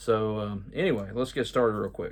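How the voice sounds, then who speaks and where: With an American accent, a man of medium pitch keeps fairly even intonation at a moderate pace. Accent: Georgia hillbilly. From Georgia, US South. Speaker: YouTuber, travel info vlogger. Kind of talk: casual video update. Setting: at home. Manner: casual, with many filler words.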